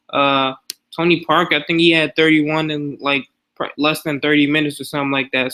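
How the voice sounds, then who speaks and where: He speaks in an ordinary speaking voice, pitched fairly high. The pace is fairly quick. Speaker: fantasy sports YouTuber. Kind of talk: casual screen-share tutorial. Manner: casual, filler-heavy.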